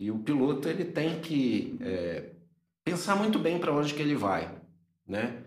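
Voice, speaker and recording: Speaking at a fairly slow pace with vocal fry, a man makes very wide pitch swings and long, frequent pauses, and there is audible room echo. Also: fairly high pitch for a man. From Minas Gerais, Brazil (Governador Valadares). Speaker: motorcycle traveler and photographer. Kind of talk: casual interview chat.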